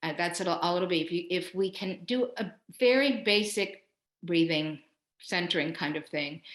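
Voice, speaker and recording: This woman has an unremarkable speaking voice, fairly low in pitch. Her pitch variation is ordinary. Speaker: professor and leadership coach. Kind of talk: webinar talk with guided breathing exercise. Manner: slow, calm guided meditation.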